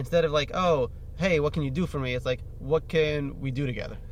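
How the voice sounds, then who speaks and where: Fairly even intonation from a man with a fairly high pitch. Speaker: podcast host, DJ. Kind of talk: casual chat. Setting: studio. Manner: rambling, fast.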